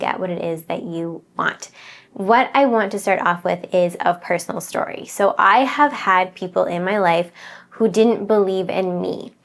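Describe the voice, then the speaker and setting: This is an unremarkable speaking voice. The pitch varies in an ordinary way. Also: woman. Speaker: manifestation coach. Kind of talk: motivational talk.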